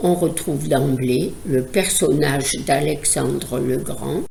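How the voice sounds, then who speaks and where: A woman's very deep, low voice with a dark, mellow tone, vocal fry, ordinary pitch variation and a very slow pace. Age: old. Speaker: psychoanalyst. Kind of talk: educational podcast talk.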